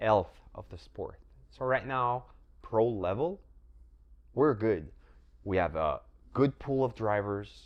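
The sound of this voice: This man's voice sits at a fairly low pitch, with a clear, smooth tone and ordinary pitch variation.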